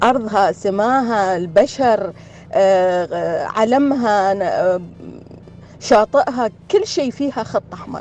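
Speaking very slowly at a fairly high pitch, a woman uses lively intonation and big swings in loudness. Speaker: listener sending a message. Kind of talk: recorded voice message.

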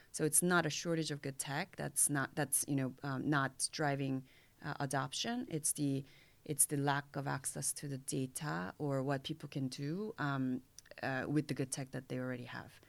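A woman's very deep, low voice in a Korean accent, with fairly even intonation and a moderate pace. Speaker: fintech mentor and angel investor. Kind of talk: interview.

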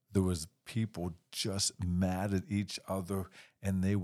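A quiet background behind plain reading aloud.

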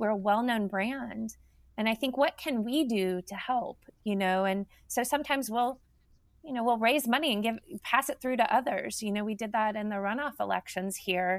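A woman speaks at a moderate pace in an unremarkable speaking voice, fairly high-pitched, with ordinary pitch variation. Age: 50s. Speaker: nonprofit health organization executive. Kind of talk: interview.

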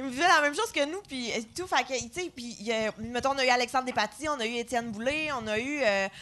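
Delivered at a moderate pace, the voice is raised and projected. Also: woman. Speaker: comedian. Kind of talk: live podcast chat. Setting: stage with audience.

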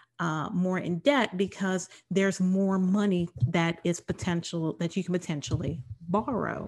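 A woman's medium-pitched voice at a fairly slow pace against a quiet background. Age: 50s. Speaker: podcast host, attorney and HR professor. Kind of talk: solo podcast monologue. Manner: halting, many fillers.

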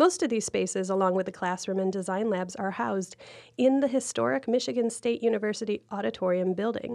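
A woman talks at a fairly quick pace with lively intonation. She has a normal speaking voice at a medium pitch, against a quiet background. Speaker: podcast host. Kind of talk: interview, hosting a podcast.

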